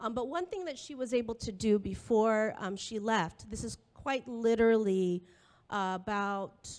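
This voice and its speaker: A woman with a normal speaking voice, fairly high in pitch, with ordinary pitch variation at a moderate pace, on a very clean recording over a silent background. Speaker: professor. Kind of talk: public talk. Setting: school hall with audience.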